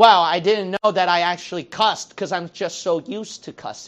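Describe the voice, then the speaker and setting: Moderate pace against a quiet background. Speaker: preacher. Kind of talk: sermon. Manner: loud.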